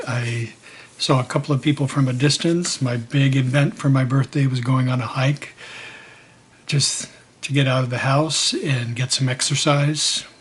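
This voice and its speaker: A man with a medium-pitched voice speaks at a fairly slow pace, his intonation fairly even. Background noise is noticeable. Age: 60s. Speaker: vlogger. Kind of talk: personal video diary. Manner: hesitant, with fillers.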